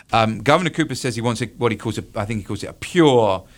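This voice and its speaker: In a very clean recording with a silent background, a man with a British accent speaks at a fairly quick pace and with ordinary pitch variation. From United Kingdom. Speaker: political science professor. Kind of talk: radio interview. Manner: halting, many fillers and repetitions.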